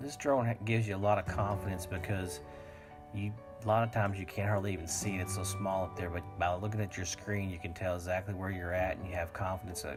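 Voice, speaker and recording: A man's very deep, low voice at a very fast pace, with music in the background. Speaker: hobby drone pilot. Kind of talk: casual video narration.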